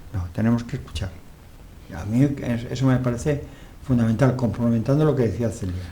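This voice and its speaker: Despite long, frequent pauses, a medium-pitched man talks at a fairly quick pace with ordinary pitch variation amid audible room echo. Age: 70s. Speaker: TV talk show host. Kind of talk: interview talk show.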